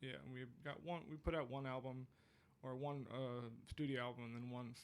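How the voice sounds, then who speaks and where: Audible room echo surrounds a man's voice. His intonation is fairly even. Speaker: singer-songwriter. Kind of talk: casual chat. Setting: studio. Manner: hesitant, many fillers.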